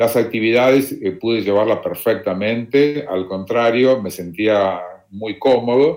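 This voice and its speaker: A man at medium pitch, fairly slow, with ordinary pitch variation, in a very clean recording with a silent background. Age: 60s. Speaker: retired volunteer traveler. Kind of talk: interview. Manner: halting, repeats words.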